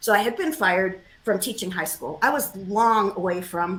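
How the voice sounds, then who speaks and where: A woman with an American accent speaks at a moderate pace and medium pitch. It is an ordinary speaking voice with ordinary pitch variation. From New York, US. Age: 60s. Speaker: historian and author. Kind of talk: interview. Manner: casual, conversational.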